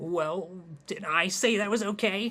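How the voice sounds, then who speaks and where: A man puts on a character voice with a high pitch. He speaks fairly slowly with fairly even intonation. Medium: read story.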